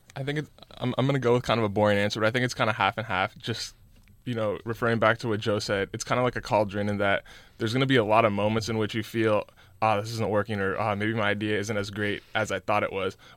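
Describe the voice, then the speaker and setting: A man with a fairly low pitch speaks very fast in a flat monotone, on a very clean recording with a silent background. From California, US. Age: young. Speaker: student entrepreneur. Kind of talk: interview.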